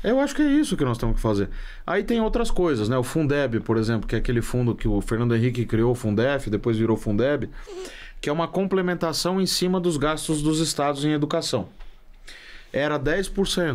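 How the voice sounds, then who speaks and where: A man's fairly high voice with very wide pitch swings, very even loudness and a fairly quick pace. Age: 30s. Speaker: economist. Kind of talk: interview.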